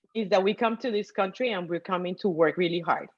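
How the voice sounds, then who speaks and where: With ordinary pitch variation, a woman's medium-pitched voice stands out against a quiet background. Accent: Colombian. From Colombia. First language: Spanish. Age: 50s. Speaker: guest sharing investing story. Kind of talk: testimony. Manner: animated.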